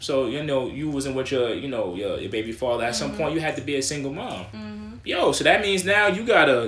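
A man's fairly high voice at a very fast pace, with very wide pitch swings, hardly any pauses, and noticeable background noise. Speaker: podcaster. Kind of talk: casual chat.

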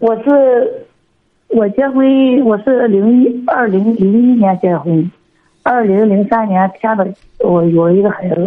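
Very slowly, a woman speaks with ordinary pitch variation. Her loudness stays very even. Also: fairly high pitch for a woman. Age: 40s. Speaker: radio call-in caller, noodle shop owner. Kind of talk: phone-in advice call. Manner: halting.

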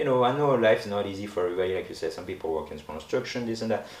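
A man talks at a very fast pace with ordinary pitch variation, audible room echo and noticeable background noise. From France, Paris. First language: French. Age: 30s. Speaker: professional boxer. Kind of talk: interview.

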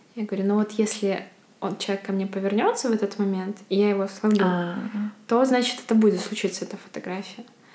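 There is noticeable background noise as a woman talks at a very fast pace. Her medium-pitched voice is monotone and flat. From Belarus, Bykhov near Mogilev. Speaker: photographer. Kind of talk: interview conversation.

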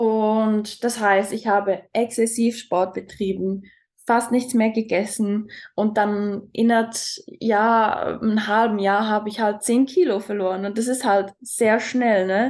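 Very slowly and with fairly even intonation, a woman with a Swiss German accent speaks in a fairly high voice against a quiet background. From Switzerland. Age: 20s. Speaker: talent mentor. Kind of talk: personal testimony in interview.

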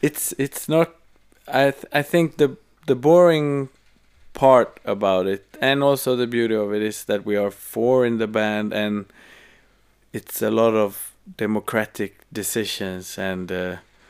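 In a Swedish accent, a man with a fairly low pitch and ordinary pitch variation speaks at a fairly slow pace in a very clean recording with a silent background. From Sweden. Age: 30s. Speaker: musician. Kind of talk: casual chat. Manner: halting.

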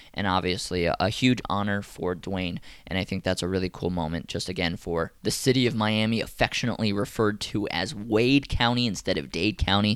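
In a very clean recording with a silent background, a man with an unremarkable speaking voice talks at a fairly quick pace with ordinary pitch variation. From Atlanta, US South. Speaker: politics podcast host. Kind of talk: solo news commentary podcast. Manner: casual, conversational.

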